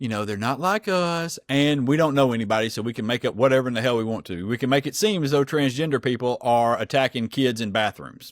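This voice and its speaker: A medium-pitched man's animated voice with a strong Southern US accent, at a fairly quick pace, dry and close with no echo, on a very clean recording with a silent background. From US South. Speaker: political podcast co-host. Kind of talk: casual chat.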